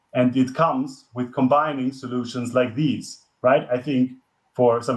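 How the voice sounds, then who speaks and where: At a fairly slow pace, a man of medium pitch speaks in a monotone, flat intonation with a non-native accent. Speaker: climate expert, guest lecturer. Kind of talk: lecture. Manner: halting, many fillers and restarts.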